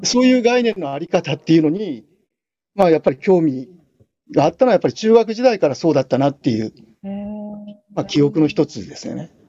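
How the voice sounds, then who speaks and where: A man with a high pitch talks very fast with long, frequent pauses, big swings in loudness and very wide pitch swings. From Japan, Kanagawa. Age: 60s. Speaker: philosophy professor. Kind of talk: interview.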